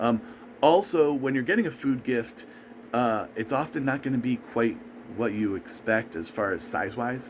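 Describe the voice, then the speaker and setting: With an American accent and a normal speaking voice, a man talks at a moderate pace and medium pitch, his intonation lively. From US East Coast. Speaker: video blogger. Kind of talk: casual advice monologue.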